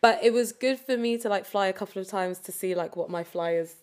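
A woman speaks in a London accent with ordinary pitch variation. The recording is very clean, its background silent. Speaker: competitive cheerleader and personal trainer. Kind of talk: casual chat.

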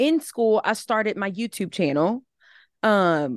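A woman talks at a medium pitch with a Southern US accent. The background is quiet and the sound is dry and close, with no echo. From Alabama. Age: 20s. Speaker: social media content creator. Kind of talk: casual chat.

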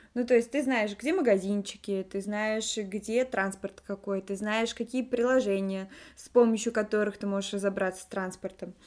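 Her loudness swings widely as a woman speaks at a moderate pace. Her fairly high voice keeps a fairly even intonation. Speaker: podcast co-host. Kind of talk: casual chat. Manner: talkative.

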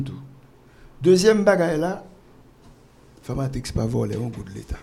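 There is audible room echo around a man's voice. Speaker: pharmaceutical entrepreneur. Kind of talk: interview. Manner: halting.

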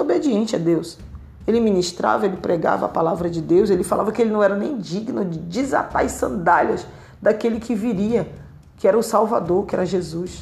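A woman talks at a fairly quick pace. Her medium pitch shows ordinary variation. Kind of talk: sermon-style Bible teaching. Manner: earnest, exhorting, direct appeals to listener; repetitive, emphatic, fervent.

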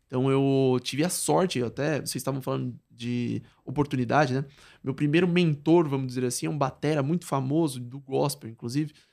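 A man talks at a fairly quick pace in an unremarkable speaking voice. His pitch is medium, with ordinary pitch variation. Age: 20s. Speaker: product designer and musician. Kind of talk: casual interview.

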